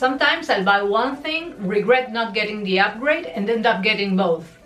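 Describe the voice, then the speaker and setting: A woman with a non-native accent talks at a fairly quick pace, her fairly high voice full of lively intonation. Music plays in the background, and the room echo is audible. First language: not English. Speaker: lifestyle vlogger. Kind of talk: personal confession vlog. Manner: conversational and expressive.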